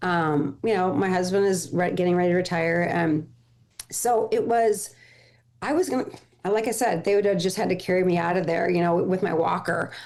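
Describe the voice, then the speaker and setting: A woman's plain, everyday voice, medium in pitch, with very even loudness, ordinary pitch variation and a moderate pace. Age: 60s. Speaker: former home shopping host, menopause coach. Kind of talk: casual chat.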